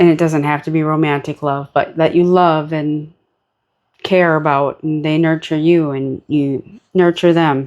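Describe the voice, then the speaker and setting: In a very deep, low pitch, a woman speaks at a fairly slow pace with a monotone, flat intonation. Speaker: tarot card reader. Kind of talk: tarot reading. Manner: casual, relaxed.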